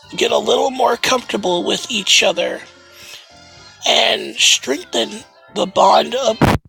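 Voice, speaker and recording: A man speaks in a raspy, put-on character voice at a fairly slow pace, with long, frequent pauses and faint music in the background. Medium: actual play. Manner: upbeat, encouraging.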